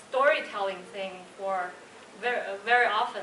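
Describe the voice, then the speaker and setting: With a Chinese accent, a woman talks at a moderate pace and ordinary pitch variation, with noticeable background noise and audible room echo. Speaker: designer and Toastmasters club speaker. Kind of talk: prepared speech.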